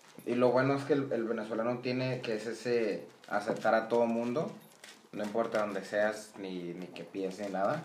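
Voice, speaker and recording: The speech has ordinary pitch variation, with audible room echo and noticeable background noise. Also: man, medium pitch for a man, moderate pace. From Venezuela. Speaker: Venezuelan guest commenting on politics. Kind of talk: casual chat.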